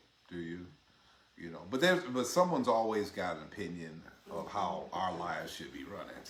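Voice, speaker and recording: Fairly quick speech with big swings in loudness, audible room echo, and noticeable background noise. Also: man. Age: 50s. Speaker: relationship talk show co-host. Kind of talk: casual chat.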